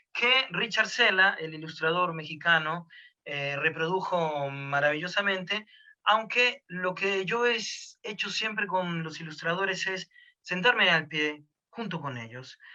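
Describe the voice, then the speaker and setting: Here a man with a high pitch speaks at a fairly slow pace, showing ordinary pitch variation. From Argentina. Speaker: storyteller. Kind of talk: interview answer.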